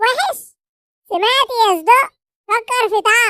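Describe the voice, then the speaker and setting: A put-on, squeaky character voice that sounds female, pitched extremely high and delivered at a fairly slow pace. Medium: fan dub. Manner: provocative.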